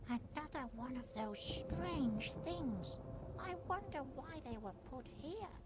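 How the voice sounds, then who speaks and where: A female-sounding put-on character voice moves at a fairly slow pace over loud background noise. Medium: video game. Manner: polite, gentle, inquisitive.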